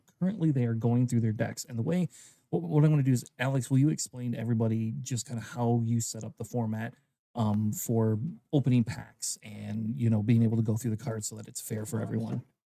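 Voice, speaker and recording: Quiet, very fast speech from a man, dark and mellow in tone, medium in pitch with ordinary variation. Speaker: tournament caster. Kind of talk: live game commentary. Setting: hobby store livestream. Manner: speaking quietly; usually loud, projecting.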